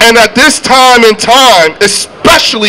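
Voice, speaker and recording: A high-pitched man with light background noise. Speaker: rally emcee. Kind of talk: rally speech. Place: street. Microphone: handheld.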